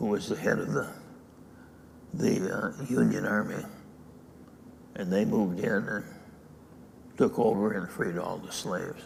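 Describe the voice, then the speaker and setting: Noticeable background noise and audible room echo surround a man who speaks with long, frequent pauses. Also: fairly slow pace. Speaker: dharma teacher. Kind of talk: dharma talk.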